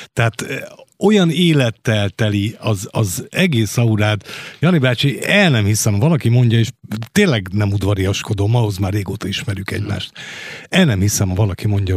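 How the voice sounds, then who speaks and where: A man's unremarkable speaking voice, fairly low in pitch, with ordinary pitch variation, a moderate pace, and a dry, close sound with no echo. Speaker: radio host. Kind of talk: radio interview. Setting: studio. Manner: formal.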